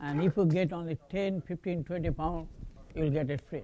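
Speaking at a moderate pace, a man has a high pitch and a dark, mellow tone. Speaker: professor giving a talk. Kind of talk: lecture. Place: hall.

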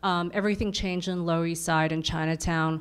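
A woman with a New York accent and fairly even intonation. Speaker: artist and activist; panelist. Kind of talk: panel discussion. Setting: stage with audience. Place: meeting room. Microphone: handheld.

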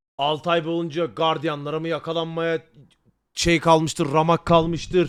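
An animated man with a high-pitched voice at a moderate pace. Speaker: streamer reacting to a video. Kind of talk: casual live-stream chat.

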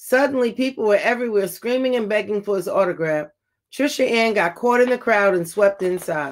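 Against a quiet background, plain reading aloud and ordinary pitch variation

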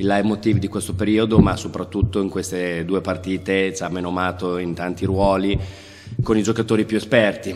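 A man's very deep, low voice at a moderate pace, in a monotone, flat intonation. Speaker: assistant basketball coach. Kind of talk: press conference statement. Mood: calm, analytical. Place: hall. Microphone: podium.

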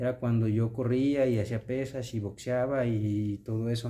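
This man's voice sits at a medium pitch, with a dark, mellow tone and a flat, monotone delivery. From Mexico. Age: 30s. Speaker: vlogger. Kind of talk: casual vlog monologue. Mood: earnest, motivational. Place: home room. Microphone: phone near.

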